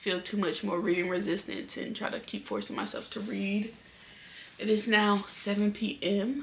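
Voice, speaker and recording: A woman speaks at a moderate pace and a medium pitch, with ordinary pitch variation. Audible room echo and noticeable background noise surround her voice. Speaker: book vlogger. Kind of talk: casual vlog chat. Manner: whispering.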